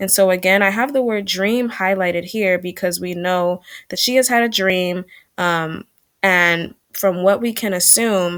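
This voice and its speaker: This woman has an ordinary speaking voice at a medium pitch. She keeps a fairly slow pace and fairly even intonation. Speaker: teacher. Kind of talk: recorded online lesson.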